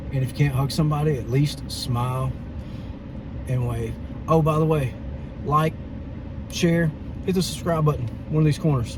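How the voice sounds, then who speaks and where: An American accent at a moderate pace, fairly even intonation, long, frequent pauses, noticeable background noise and audible room echo. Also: man, fairly high pitch for a man. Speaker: vlogger. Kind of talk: casual chat. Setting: outdoors.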